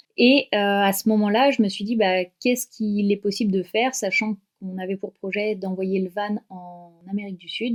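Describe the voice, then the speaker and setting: The recording is dry and close with no echo, capturing a woman at a medium pitch who talks at a moderate pace with fairly even intonation. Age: 30s. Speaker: dog owner and traveller. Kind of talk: podcast interview. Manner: hesitant, many fillers.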